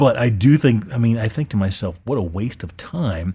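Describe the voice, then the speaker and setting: A man speaks at a moderate pace with lively intonation, his tone dark and mellow and somewhat breathy. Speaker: podcast host. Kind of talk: casual podcast commentary.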